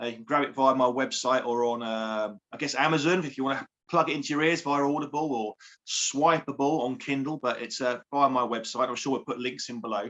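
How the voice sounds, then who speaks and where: The speaker has a southern English accent. The pace is fairly quick. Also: man, medium pitch for a man. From southern England, Surrey. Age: 40s. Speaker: life coach and author. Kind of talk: interview. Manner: upbeat.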